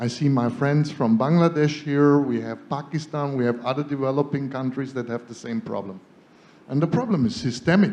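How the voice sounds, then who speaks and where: A man talks at a fairly quick pace with a fairly high pitch. His pitch varies in an ordinary way. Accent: German. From Germany. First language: German. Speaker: solar energy entrepreneur. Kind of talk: panel discussion. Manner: animated.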